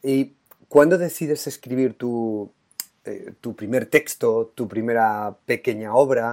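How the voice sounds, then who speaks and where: A man talks very slowly at a medium pitch, with ordinary pitch variation and big swings in loudness. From Spain, La Mancha. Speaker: education podcast host, teacher. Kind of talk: interview.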